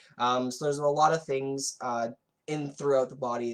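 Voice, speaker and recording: A man with a fairly high pitch speaks in a monotone, flat intonation at a moderate pace. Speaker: LGBTQ ministry coordinator. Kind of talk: educational livestream workshop. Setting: livestream. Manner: many fillers, um and uh.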